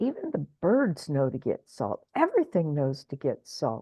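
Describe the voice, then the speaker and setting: At a fairly slow pace, a woman talks. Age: 70s. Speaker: spiritual show host. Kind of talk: casual chat.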